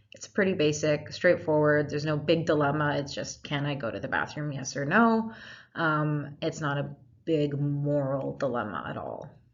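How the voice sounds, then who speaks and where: With audible room echo, a woman speaks in a very deep, low pitch with ordinary pitch variation. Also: moderate pace. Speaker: lecturer. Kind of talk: lecture.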